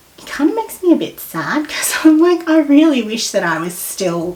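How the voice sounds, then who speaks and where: There is noticeable background noise as a woman talks at a moderate pace. Her pitch swings very widely. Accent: Australian. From Australia, Melbourne. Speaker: podcast guest. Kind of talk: casual chat.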